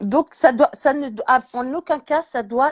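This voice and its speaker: A woman is speaking. Her tone is animated. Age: 60s. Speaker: chef. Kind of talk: casual chat.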